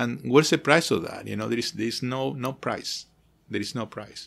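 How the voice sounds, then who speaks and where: On a very clean recording with a silent background, a man with a non-native accent speaks at a moderate pace, medium in pitch with ordinary pitch variation. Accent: foreign. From outside the US. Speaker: architect who studies sacred spaces. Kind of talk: interview conversation. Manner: halting, many repetitions.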